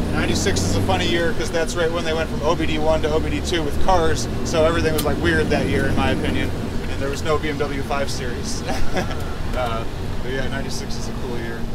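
Amid loud background noise, a man talks at a very fast pace. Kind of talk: casual vlog chat. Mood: excited, impressed. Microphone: phone near.

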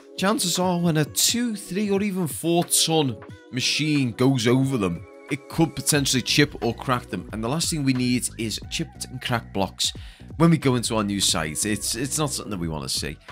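Music plays behind a man speaking at a moderate pace. His pitch swings very widely. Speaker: stadium update narrator. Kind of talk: commentary.

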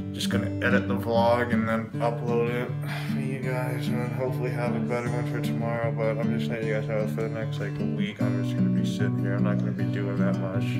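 Loud music plays in the background as a man talks at a very fast pace. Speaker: vlogger. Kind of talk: casual vlog chat. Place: home room. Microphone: phone near.

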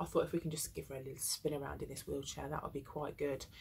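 A woman speaks with a somewhat breathy voice over light background noise. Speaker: parent vlogger. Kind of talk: casual vlog chat. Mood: concerned, a little upset. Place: home room. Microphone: phone near.

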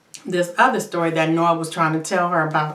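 A woman speaks in a monotone, flat intonation, with audible room echo around her. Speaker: TV show reviewer. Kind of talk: casual vlog chat. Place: bathroom. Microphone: phone near.

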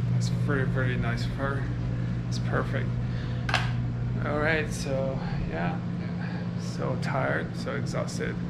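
A man speaks at a fairly slow pace. Loud background noise runs underneath. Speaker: road trip vlogger. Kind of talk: casual vlog chat. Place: home room. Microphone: phone near.

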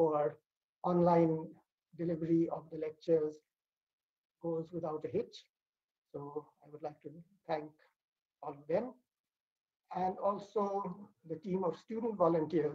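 Over a quiet background, a man with a high voice and a dark, mellow tone speaks at a fairly slow pace with fairly even intonation and long, frequent pauses. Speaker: academic host giving welcome address. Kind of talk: formal opening remarks. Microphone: video call.

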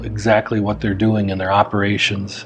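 A man talks at a medium speed while music plays faintly behind him. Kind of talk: corporate explainer to camera. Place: office.

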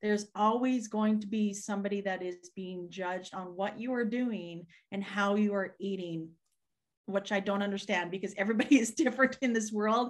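A woman speaks in an ordinary speaking voice at medium pitch, with fairly even intonation. Her pace is moderate and the background is quiet. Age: 40s. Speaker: keto content creator. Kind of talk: casual chat. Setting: video call. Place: home room. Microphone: webcam.

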